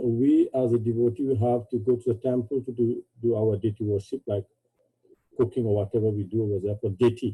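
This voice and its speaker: In a medium pitch, a man speaks at a moderate pace with fairly even intonation and a somewhat breathy, dark, mellow tone, the sound dry and close with no echo. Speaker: devotee asking a question. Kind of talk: question from audience. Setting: video call. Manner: halting.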